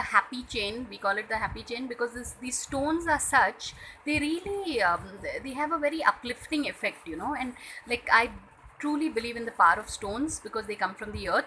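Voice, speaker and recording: The intonation is lively. The pace is moderate. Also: woman. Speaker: vlogger. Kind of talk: casual vlog to camera. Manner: hesitant, many fillers.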